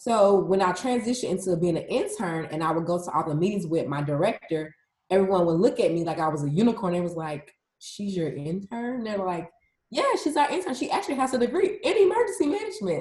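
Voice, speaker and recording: A woman's medium-pitched, very fast delivery with lively intonation. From US South, Atlanta, Georgia. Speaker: emergency management specialist. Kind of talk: interview. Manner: casual.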